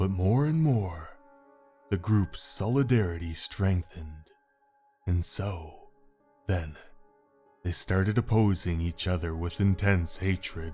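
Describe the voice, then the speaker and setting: Put-on character voice from a man, very deep and low, at a fairly slow pace with long, frequent pauses and faint music in the background. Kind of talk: audio drama dialogue.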